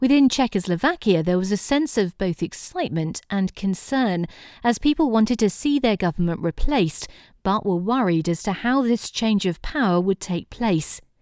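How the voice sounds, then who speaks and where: A woman's ordinary speaking voice at medium pitch, very clean and dry and close with no echo, over a silent background. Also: lively intonation, moderate pace. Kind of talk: history documentary narration, scripted. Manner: formal, measured, even-paced; serious, authoritative tone.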